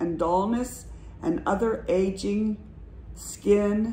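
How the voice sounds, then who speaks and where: The very slow speech comes with light background noise and audible room echo. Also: woman. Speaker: lifestyle vlogger. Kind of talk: casual vlog chat. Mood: chatty, a bit anxious. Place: home room. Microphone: phone near.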